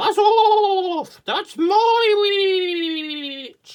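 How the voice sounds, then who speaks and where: This is a put-on character voice at an extremely high pitch. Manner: menacing, gruff.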